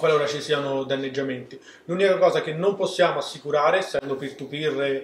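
Audible room echo surrounds a man with a fairly high pitch. He speaks at a fairly quick pace with fairly even intonation. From Rome, Italy. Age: 20s. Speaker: startup co-founder. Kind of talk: interview. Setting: studio. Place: studio. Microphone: camera far.

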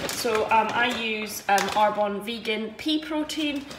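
Noticeable background noise runs underneath. The pace is very slow. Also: woman. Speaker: runner vlogger. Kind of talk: casual vlog chat. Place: kitchen. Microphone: phone near.

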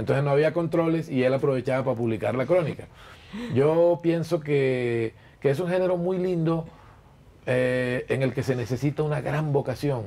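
Pitched fairly high with a dark, mellow tone, a man talks at a moderate pace with ordinary pitch variation. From Colombian Caribbean coast. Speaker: journalist and chronicle writer. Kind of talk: interview answer. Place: shop.

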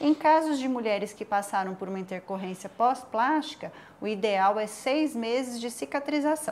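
This woman has a plain, everyday voice. She speaks at a moderate pace with lively intonation. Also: fairly high pitch for a woman. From São José do Rio Preto, São Paulo interior, Brazil. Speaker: micropigmentation specialist. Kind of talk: interview. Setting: studio.

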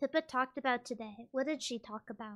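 Raised and projected, a woman's high voice has a bright, sharp tone and fairly even intonation. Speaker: VTuber streamer. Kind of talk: casual chat. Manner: slow; careful enunciation.

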